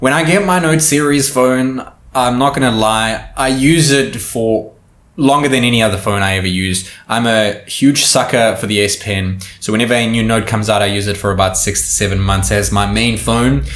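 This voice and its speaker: A man speaks at a medium pitch and a moderate pace with ordinary pitch variation. Audible room echo surrounds his voice. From South Africa. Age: 20s. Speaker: tech YouTuber. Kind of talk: casual Q&A monologue.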